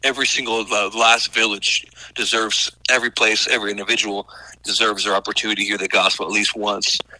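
Talking at a very fast pace, a man with a Southern US accent has a fairly low pitch and a bright, sharp tone. His intonation is monotone and flat, and the sound is dry and close with no echo. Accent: Southern US (Oklahoma). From Oklahoma. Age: 40s. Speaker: missionary. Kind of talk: interview. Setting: radio interview.

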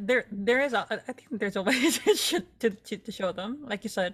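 A woman with a normal speaking voice and fairly high pitch talks at a moderate pace. Her intonation is lively, and her loudness swings widely. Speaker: podcast co-host. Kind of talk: casual chat.

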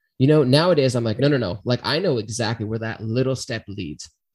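Using an ordinary speaking voice, a man speaks at a fairly quick pace with a medium pitch and lively intonation against a quiet background. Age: 30s. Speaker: podcast host. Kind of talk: casual chat.

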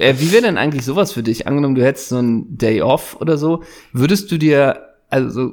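A man talks at a fairly quick pace in an ordinary speaking voice. His pitch sits fairly high. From Germany, Worms. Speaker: podcast co-host. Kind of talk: casual chat.

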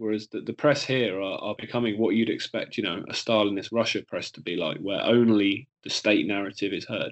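Speaking at a fairly quick pace, a man with an English accent talks at medium pitch. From England. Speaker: filmmaker. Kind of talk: casual chat.

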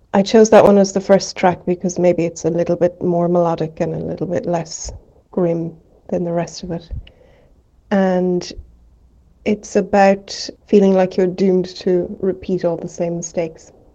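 A woman with an Irish accent, dark and mellow in tone, fairly low in pitch, monotone and flat, at a moderate pace. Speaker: musician. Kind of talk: recorded song introduction.

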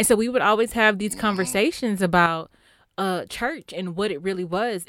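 On a very clean recording with a silent background, a woman with an American accent speaks in a plain, everyday voice at a fairly quick pace, with ordinary pitch variation. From Texas. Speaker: podcaster. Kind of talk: casual chat.

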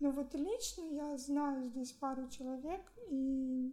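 Her pitch is high. She keeps her intonation fairly even. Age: 20s. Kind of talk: interview.

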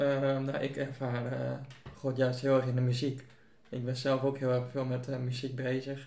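The man's voice sits at a medium pitch and stays monotone and flat. Room echo is audible around him. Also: fairly slow pace. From Buitenpost, Friesland, Netherlands. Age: young. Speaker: church member. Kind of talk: casual chat. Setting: at home.

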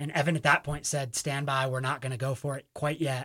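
A man at a medium pitch with a fairly quick pace, on a very clean recording with a silent background. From Vermont, Burlington. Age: 20s. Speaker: backcountry skier, art installer. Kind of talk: interview testimony. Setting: radio studio.

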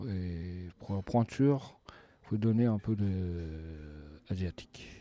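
The speaker has a Japanese accent and a dark, mellow tone, with ordinary pitch variation. The pace is very slow, and the background is quiet. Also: man. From Japan, Sapporo. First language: Japanese (speaking French). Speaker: chef. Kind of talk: interview. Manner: halting.

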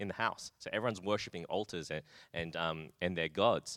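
A man with an Australian accent and a very deep, low pitch speaks fairly quickly in a bright, sharp tone with ordinary pitch variation, on a very clean, dry, close recording with a silent background and no echo. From Australia, Brisbane. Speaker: pastor. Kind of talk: interview.

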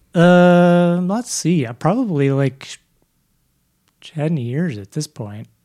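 On a very clean recording with a silent background, a man with a high pitch and a dark, mellow tone speaks very slowly, with long, frequent pauses, lively intonation and big swings in loudness. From Vermont (Burlington). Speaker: music producer and music therapist. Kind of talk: casual interview. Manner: hesitant, many fillers.

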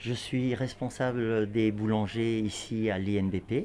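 In a very clean recording with a silent background, a man speaks very slowly at medium pitch, his dark, mellow tone paired with fairly even intonation. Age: 50s. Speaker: baking instructor. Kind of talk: interview. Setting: bakery workshop.

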